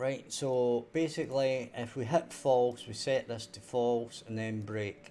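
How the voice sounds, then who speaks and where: A man with a Scottish accent at medium pitch, fairly slow and with hardly any pauses, fairly even intonation but big swings in loudness, over noticeable background noise. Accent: Scottish, toned down on stream. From Scotland. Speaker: indie game developer. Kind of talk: live-stream coding tutorial. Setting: live stream. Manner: clear, careful 'telephone voice'.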